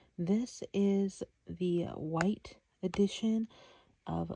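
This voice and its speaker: Soft-spoken and somewhat breathy, this woman has a medium pitch and a dark, mellow tone. Her pitch varies in an ordinary way, and the sound is dry and close with no echo. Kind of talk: ASMR soft-spoken product showcase, casual talk to camera.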